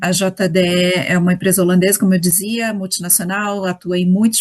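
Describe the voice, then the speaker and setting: A woman speaks with a Rio de Janeiro accent, somewhat breathy. Her intonation is monotone and flat, at a moderate pace. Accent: carioca. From Rio de Janeiro, Brazil. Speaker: HR executive. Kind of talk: interview.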